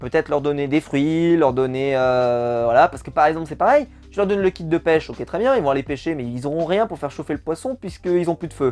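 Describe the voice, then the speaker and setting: A man with a fairly high pitch talks at a fairly quick pace, with hardly any pauses. His pitch moves in an ordinary way while music plays behind him. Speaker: YouTuber reviewing a TV show; teacher. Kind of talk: casual video review. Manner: animated, conversational with many fillers.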